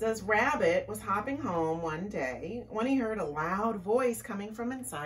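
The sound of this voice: Lively intonation across an unforced reading voice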